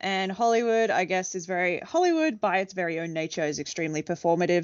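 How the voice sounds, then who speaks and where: A woman's fairly quick, fairly low-pitched voice in an Australian accent, with fairly even intonation. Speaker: podcast co-host. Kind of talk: casual chat. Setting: at home in bedroom at night.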